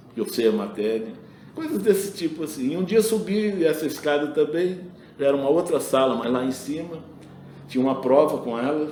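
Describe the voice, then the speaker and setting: At a moderate pace, a man with a fairly high pitch talks with lively intonation amid noticeable background noise and audible room echo. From Brazil. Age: 70s. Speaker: retired school administrator and engineer. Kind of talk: interview, personal anecdotes. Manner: conversational with self-repetitions.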